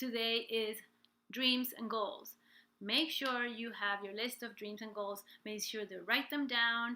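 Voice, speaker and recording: Her tone is bright and sharp, with a fairly high pitch. This woman talks at a fairly slow pace with fairly even intonation. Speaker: life and business coach, singer. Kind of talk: live stream coaching talk. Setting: live stream from home.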